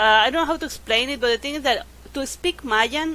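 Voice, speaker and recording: A woman's bright, sharp tone with vocal fry, a Yucatecan accent and ordinary pitch variation. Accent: Yucatecan Spanish accent in her English. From Mexico, Yucatan Peninsula (Merida). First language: Spanish. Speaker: podcast guest. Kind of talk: casual chat.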